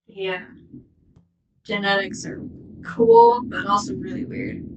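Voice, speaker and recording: Audible room echo surrounds a woman at a medium pitch. She talks at a very slow pace with lively intonation. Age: 20s. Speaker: art youtuber. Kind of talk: casual chat.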